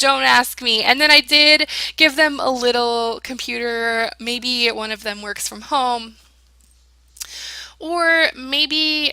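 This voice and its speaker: A woman uses a raised, projected voice with a bright, sharp tone and ordinary pitch variation. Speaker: gaming youtuber. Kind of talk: casual voiceover commentary. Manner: animated.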